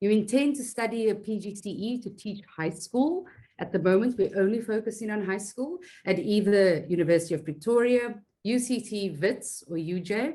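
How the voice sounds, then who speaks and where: This woman's voice is medium-pitched and somewhat breathy, moving at a moderate pace with lively intonation. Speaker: webinar host, teacher fellowship head. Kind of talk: online webinar presentation.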